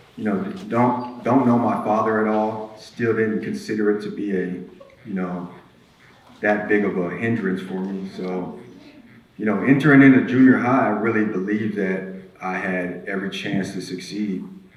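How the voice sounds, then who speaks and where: Fairly even intonation and a moderate pace come through noticeable background noise and audible room echo. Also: man, fairly low pitch for a man. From Alaska, East Anchorage. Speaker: person in addiction recovery sharing life story. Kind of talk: testimony.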